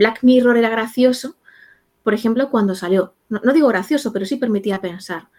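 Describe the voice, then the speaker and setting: A woman speaks at a moderate pace in a dark, mellow tone. Her pitch is fairly high, with ordinary pitch variation. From Spain, Castilla-La Mancha (rural village). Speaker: psychologist. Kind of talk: interview.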